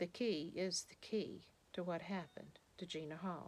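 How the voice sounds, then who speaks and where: The woman's voice sits at a medium pitch. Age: 60s. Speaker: true crime narrator, victim's sister. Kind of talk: scripted narration.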